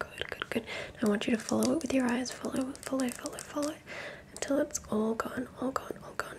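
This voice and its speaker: Soft-spoken and whispering, a woman talks over light background noise. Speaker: ASMR creator. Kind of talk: soft ASMR guided instructions. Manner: fast, soft ASMR whisper. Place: home room. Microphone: studio mic.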